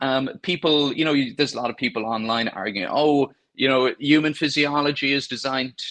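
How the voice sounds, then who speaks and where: A man with a Cork accent, a fairly high pitch and a bright, sharp tone, talking at a fairly quick pace. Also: ordinary pitch variation. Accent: Irish (Cork). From Ireland, County Cork. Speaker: gastroenterologist doctor. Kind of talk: podcast interview answer.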